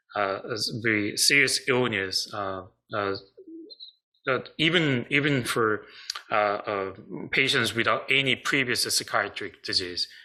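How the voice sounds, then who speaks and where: With a Korean accent, a man speaks at a medium pitch and a fairly slow pace, using ordinary pitch variation and long, frequent pauses. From South Korea. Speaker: psychiatrist. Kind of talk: online seminar presentation. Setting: online video seminar. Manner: halting, many fillers.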